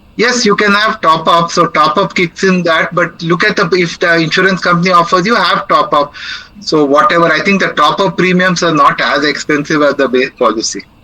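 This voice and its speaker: Amid noticeable background noise, a high-pitched man talks at a fairly quick pace with very even loudness and ordinary pitch variation. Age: 60s. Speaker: senior living speaker. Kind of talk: Q&A after a talk.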